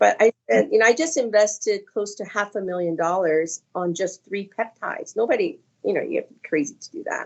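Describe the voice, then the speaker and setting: This woman talks at a fairly quick pace with a medium pitch and lively intonation. She has a plain, everyday voice. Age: 60s. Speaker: skincare company founder. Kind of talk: casual chat.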